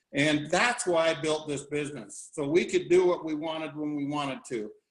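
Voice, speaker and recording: This man has a normal speaking voice at a fairly high pitch. He talks at a moderate pace with ordinary pitch variation. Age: 60s. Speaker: business opportunity presenter, former construction business owner. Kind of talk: sales pitch presentation. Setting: video call. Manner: casual, folksy.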